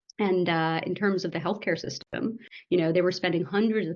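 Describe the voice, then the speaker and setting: Speaking at a fairly quick pace, a woman with an ordinary speaking voice uses an American accent, a fairly low pitch and ordinary pitch variation. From United States. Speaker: medical doctor and startup founder. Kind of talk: podcast interview. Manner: conversational, with fillers.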